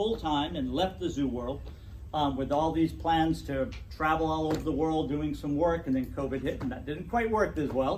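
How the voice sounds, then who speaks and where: There is audible room echo around this man. His voice is fairly high, and his pace is moderate. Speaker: natural history educator. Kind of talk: club talk. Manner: loud.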